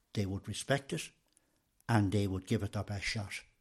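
In a very clean recording with a silent background, a man with an Irish accent speaks at a moderate pace, fairly low in pitch and somewhat breathy. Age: 60s. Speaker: retired trade union official. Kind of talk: interview. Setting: in person.

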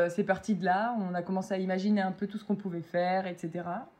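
Moderate pace, medium pitch and fairly even intonation in a woman's normal speaking voice, over a quiet background. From France, Metz (Lorraine). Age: 20s. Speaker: food truck owner, former surgical nurse. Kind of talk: casual interview.

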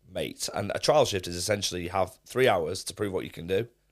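The speaker talks at a fairly quick pace in a Mancunian accent. The recording is very clean, with a silent background. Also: man. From Manchester, England. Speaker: streamer and football club presenter. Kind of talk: casual chat.

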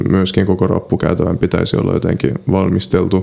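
A man with a Polish accent speaks in a very deep, low voice with monotone, flat intonation against noticeable background noise. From Finland, South Ostrobothnia (Seinäjoki). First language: Polish (speaking Finnish). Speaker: travel writer and medical student. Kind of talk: interview. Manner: halting.

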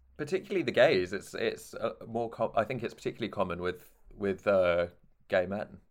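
A man talking fairly quickly with a slight southern English accent. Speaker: podcast host. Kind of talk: casual chat.

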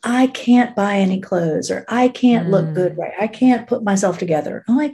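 A woman with a dark, mellow tone and a somewhat breathy voice talks at a moderate pace with lively intonation. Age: 50s. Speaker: fashion stylist, boutique owner. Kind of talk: casual chat.

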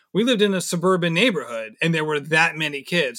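Bright and sharp in tone, a man's voice sits high in pitch at a fairly quick pace. The recording is very clean, with a silent background. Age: 30s. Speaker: amateur runner, podcast host. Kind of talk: casual interview chat.

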